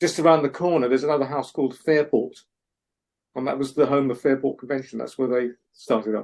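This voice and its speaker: A man with a London accent at medium pitch, fairly even intonation and a very fast pace. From North London, England. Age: middle-aged. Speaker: singer-songwriter. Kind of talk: casual interview chat.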